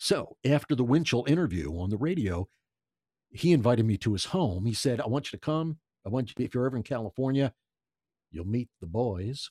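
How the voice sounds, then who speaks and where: A man with an American accent, medium pitch, dark, mellow tone and lively intonation, in a dry, close sound with no echo and a very clean recording with a silent background. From US Northeast, Philadelphia. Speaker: voice artist and ventriloquist. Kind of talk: casual interview storytelling. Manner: animated.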